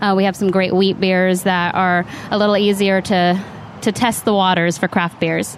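Over noticeable background noise, a woman with a West Coast accent talks at medium pitch with monotone, flat intonation. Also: moderate pace, very even loudness. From Northern California, Sacramento. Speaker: bartender. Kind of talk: casual interview chat.

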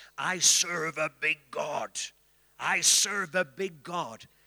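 A man speaks in a put-on character voice with a high pitch. His delivery is very slow. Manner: declarative, preaching.

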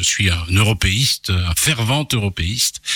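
A man's speech comes with noticeable noise in the background. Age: 50s. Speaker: journalist and radio host. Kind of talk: radio interview. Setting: radio studio.

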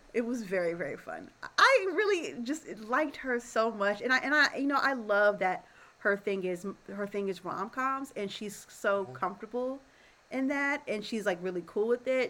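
A woman with a plain, everyday voice, lively intonation and a moderate pace. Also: fairly high pitch for a woman. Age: 30s. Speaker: podcast co-host. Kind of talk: casual chat.

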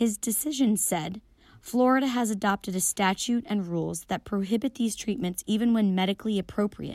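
A woman with a normal speaking voice talks at a fairly quick pace with a medium pitch and ordinary pitch variation. The sound is dry and close with no echo, over a quiet background. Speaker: radio news co-host. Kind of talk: news reading.

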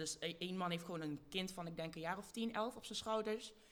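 At a moderate pace, a woman talks in a normal speaking voice, medium in pitch, with fairly even intonation. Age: young. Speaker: activist. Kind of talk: live panel talk before audience. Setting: stage with audience.

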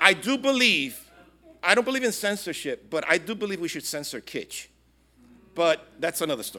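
A man speaks at a high pitch with a bright, sharp tone in a raised, projected voice. His pitch swings very widely and his loudness varies a lot, at a moderate pace. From Brooklyn, New York, Puerto Rican family. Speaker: pastor. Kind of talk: speech.

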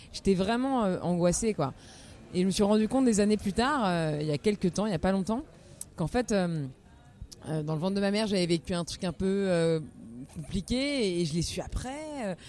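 Using lively intonation and a dark, mellow tone, a woman speaks at a medium pitch and moderate pace with long, frequent pauses. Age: 30s. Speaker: singer-songwriter. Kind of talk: interview, casual conversation. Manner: hesitant, many fillers and repetitions.

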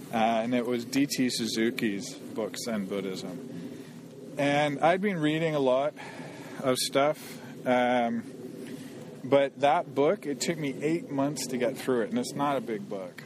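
Noticeable background noise sits behind a man with a Canadian accent. He speaks at a fairly slow pace and a medium pitch, with ordinary pitch variation. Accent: Canadian English, contrasting with host. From Canada. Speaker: programmer. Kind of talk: casual interview conversation. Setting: outdoors, walking in a forest in the rain.

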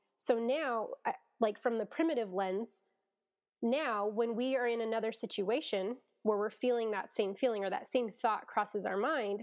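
With an ordinary speaking voice, a woman talks at a moderate pace, her fairly high pitch showing ordinary pitch variation. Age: 30s. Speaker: therapist. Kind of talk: casual chat.

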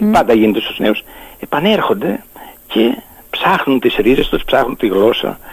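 A man at a medium pitch and fairly slow pace, with very wide pitch swings, long, frequent pauses, and noticeable background noise. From Greece, Lemnos island. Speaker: author of a local dialect dictionary. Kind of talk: radio interview.

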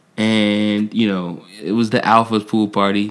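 You can hear a man with an American accent. Noticeable background noise sits behind him. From New York (Buffalo). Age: young. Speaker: podcast co-host. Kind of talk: casual chat. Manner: hesitant, many fillers.

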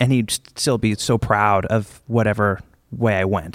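A man with an American accent has an unremarkable speaking voice at a fairly low pitch, with ordinary pitch variation and a moderate pace. The very clean recording has a silent background and a dry, close sound with no echo. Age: 30s. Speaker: drummer. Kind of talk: interview on stage. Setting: stage with audience.

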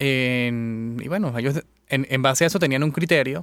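In a very clean recording with a silent background, a man has an ordinary speaking voice at a medium pitch with ordinary pitch variation. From Venezuela. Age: 30s. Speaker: engineer and business club president. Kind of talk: radio interview. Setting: radio studio.

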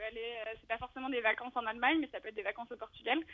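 A woman speaks at a high pitch. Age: 20s. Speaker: architect and climate activist. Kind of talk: interview. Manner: halting.

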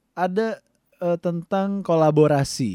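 A man's high-pitched voice with a dark, mellow tone at a very slow pace, the sound dry and close with no echo. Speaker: podcast co-host. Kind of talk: casual chat.

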